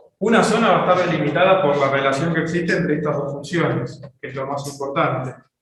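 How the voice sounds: In strong room echo, a man with a fairly bright tone and fairly high pitch speaks at a fairly quick pace with ordinary pitch variation.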